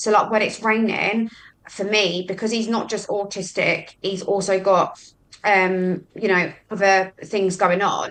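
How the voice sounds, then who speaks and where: The speaker talks with a London accent at a fairly slow pace. Intonation stays monotone and flat. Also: woman, medium pitch for a woman. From West London (Hammersmith), later Brighton. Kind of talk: casual chat.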